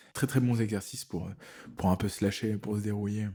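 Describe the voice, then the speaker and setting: A somewhat breathy voice with a dark, mellow tone moves at a fairly quick pace over fairly even intonation. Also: man. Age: 40s. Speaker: tattoo artist. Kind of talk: casual interview.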